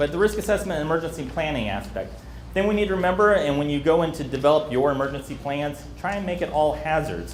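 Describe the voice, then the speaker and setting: A man rushes along at a very fast pace, with room echo audible around him. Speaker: emergency preparedness trainer. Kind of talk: training presentation.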